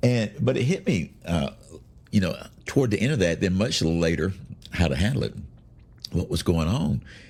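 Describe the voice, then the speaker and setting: A moderate pace with vocal fry and very wide pitch swings. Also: man, very deep, low pitch for a man. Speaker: podcast host, bible teacher. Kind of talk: casual devotional talk. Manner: halting, many fillers.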